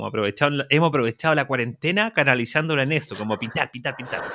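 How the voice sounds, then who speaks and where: A man talks at a very fast pace and fairly high pitch. His tone is bright and sharp, and the sound is dry and close with no echo. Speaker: interior designer and podcast co-host. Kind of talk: casual chat.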